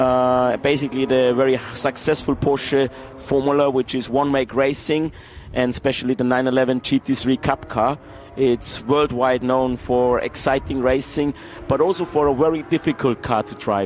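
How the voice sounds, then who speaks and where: Over music in the background, a man with an Austrian accent talks at a moderate pace in a medium pitch with fairly even intonation. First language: German. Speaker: racing team executive. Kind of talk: interview during live race broadcast.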